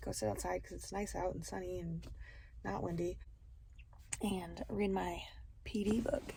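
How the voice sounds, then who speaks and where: A woman's voice, moving at a moderate speed, carries audible room echo. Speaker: teacher and vlogger. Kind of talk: casual vlog narration. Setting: outdoors by car; at home. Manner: whispering.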